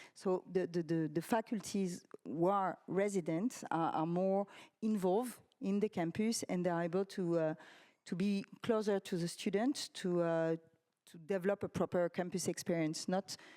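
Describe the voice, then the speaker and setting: A woman's fairly low, dark and mellow voice with a French accent, dry and close with no echo, on a very clean recording against a silent background. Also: ordinary pitch variation, moderate pace. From France. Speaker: university representative. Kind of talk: panel discussion. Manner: halting.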